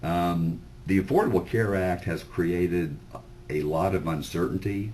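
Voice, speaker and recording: A man's very deep, low voice with a dark, mellow tone and audible room echo. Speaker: sales presenter. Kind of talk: sales pitch webinar. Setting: webinar. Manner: loud; informal, filler-heavy.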